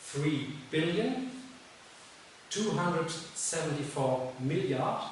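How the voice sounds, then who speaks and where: A man talks in a German accent at a fairly high pitch. Noticeable background noise and audible room echo fill the recording. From Germany. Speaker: teacher. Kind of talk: educational talk. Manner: halting.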